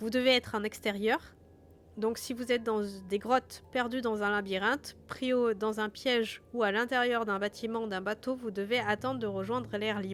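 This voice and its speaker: Speaking at a moderate pace, a woman with a southern French accent has a fairly high pitch and ordinary pitch variation. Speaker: game master and streamer. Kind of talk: reading aloud rules of a gamebook on a live stream. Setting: live stream with background music.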